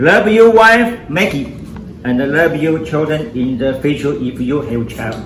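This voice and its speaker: A man's fairly high voice at a fairly slow pace, with very wide pitch swings, audible room echo and noticeable background noise. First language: non-English. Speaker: father of the groom. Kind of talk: wedding toast.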